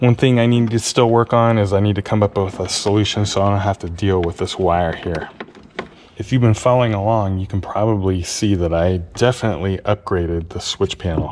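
A man speaks in an ordinary speaking voice at a fairly low pitch and fairly quick pace, with fairly even intonation over light background noise. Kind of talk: tutorial. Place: garage. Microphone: camera far.

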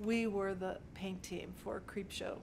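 With an American accent, a woman speaks at a very slow pace over noticeable background noise. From Pittsburgh, Pennsylvania. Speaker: set decorator. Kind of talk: interview monologue. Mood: warm, reflective. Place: office.

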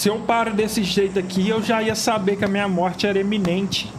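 A man talks at a high pitch. Noticeable background noise runs under his voice. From Brazil. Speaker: gaming youtuber; gaming streamer. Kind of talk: gameplay reaction commentary. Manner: animated. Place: home room.

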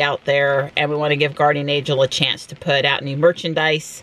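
A woman's very deep, low voice, monotone and flat in intonation, with dry sound and no echo. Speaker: vlogger. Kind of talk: casual vlog chat. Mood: relaxed, lightly amused. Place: car.

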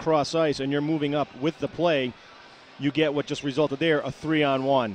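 A man with a fairly high pitch and fairly even intonation speaks in an unremarkable speaking voice. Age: 50s. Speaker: color analyst, former player and coach. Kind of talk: casual analysis chat.

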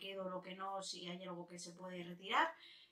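An animated tone comes from a woman's voice. The background is quiet, with audible room echo. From Spain. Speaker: beauty youtuber. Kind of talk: casual vlog chat. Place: home room. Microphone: camera far.

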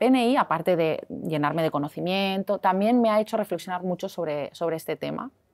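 Ordinary pitch variation from a female speaker, set against a quiet background. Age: 40s. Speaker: health and weight-loss practitioner; guest. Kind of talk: interview. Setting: hotel. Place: cafe. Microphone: lapel.

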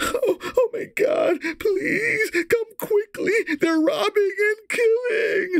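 In a put-on character voice, the speaker talks at an extremely high pitch and a very slow pace. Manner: panicked, frightened.

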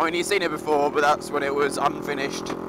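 A man with a fairly high pitch for a man talks over noticeable background noise. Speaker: motovlogger. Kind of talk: casual vlog while riding. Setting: outdoors on a motorcycle. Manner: shouting over engine.

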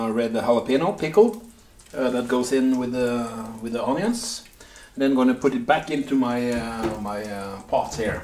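Audible room echo surrounds the recording. A man talks at a moderate speed. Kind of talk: cooking tutorial. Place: kitchen. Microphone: camera far.

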